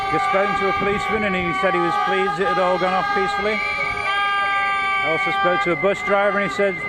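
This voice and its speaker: Over crowd noise and audible room echo, a man talks fairly quickly at a very even loudness. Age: 60s. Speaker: amateur video reporter, retired bus driver. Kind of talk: on-the-street video report and interviews. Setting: outdoors at a protest march.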